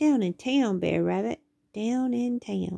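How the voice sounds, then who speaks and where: Using a put-on character voice, a woman speaks at a fairly slow pace in a medium pitch. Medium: read story. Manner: polite.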